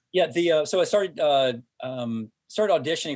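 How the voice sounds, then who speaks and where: On a very clean recording with a silent background, a man with an American accent speaks with ordinary pitch variation. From US South, Hickory, North Carolina. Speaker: entrepreneur and former TV athlete. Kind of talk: interview podcast. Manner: halting, many fillers.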